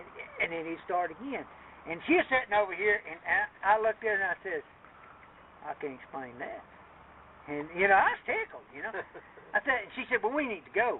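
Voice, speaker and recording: This man has an Appalachian accent and a high pitch, speaking at a moderate pace. His pitch swings very widely and his loudness shifts a lot, with noticeable background noise behind him. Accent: Appalachian Southern US. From Appalachia, USA. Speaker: retired Army Special Forces soldier. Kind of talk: casual storytelling.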